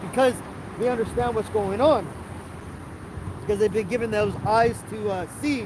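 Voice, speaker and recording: Room echo and noticeable background noise surround a man with a high pitch and ordinary pitch variation. He speaks at a moderate pace with long, frequent pauses. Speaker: religious teacher. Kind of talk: sermon. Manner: halting.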